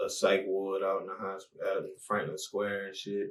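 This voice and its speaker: The speaker is a man with an American accent. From Baltimore, Maryland (US). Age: 20s. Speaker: rapper. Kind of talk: casual interview.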